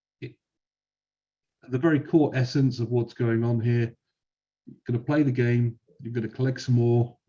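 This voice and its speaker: With a British accent, a man talks at a moderate pace in a dark, mellow, somewhat breathy tone against a quiet background. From UK. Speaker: software company evangelist. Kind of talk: webinar presentation.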